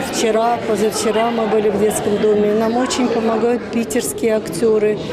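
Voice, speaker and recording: Loud background noise fills the recording. A woman speaks at a fairly slow pace. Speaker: festival organizer. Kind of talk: interview. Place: home room. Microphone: handheld.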